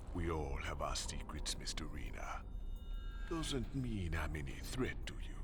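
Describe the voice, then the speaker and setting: Over loud background noise, a man does a cartoonish character voice at a moderate pace. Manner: calm, laconic, slightly menacing.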